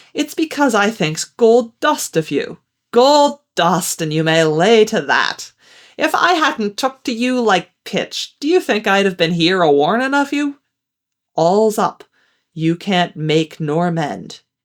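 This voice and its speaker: A woman speaks in a put-on character voice at medium pitch and a fairly slow pace. The recording is very clean, with a silent background. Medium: read story. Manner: coaxing, folksy.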